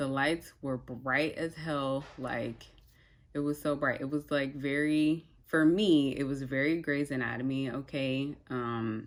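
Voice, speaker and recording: A woman speaks at a very slow pace in a very deep, low pitch. Her intonation stays fairly even. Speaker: vlogger. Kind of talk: personal story. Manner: casual, filler-heavy.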